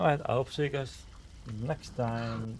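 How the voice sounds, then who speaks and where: Somewhat breathy, a man talks in a medium pitch at a moderate pace. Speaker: streamer. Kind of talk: live gaming stream chat. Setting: live stream with camera. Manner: limited mouth movement when talking.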